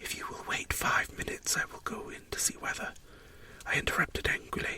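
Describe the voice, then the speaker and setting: The speech is whispered at a moderate pace. Background noise is clearly audible. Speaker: story narrator. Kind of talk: read story.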